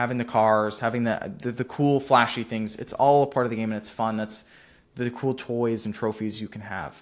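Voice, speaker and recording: Delivered at a moderate pace, a man's unremarkable speaking voice sits at a medium pitch with fairly even intonation and an American accent. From US Pacific Northwest, near Seattle. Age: young. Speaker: entrepreneur YouTuber. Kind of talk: casual vlog monologue. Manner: casual, filler-heavy.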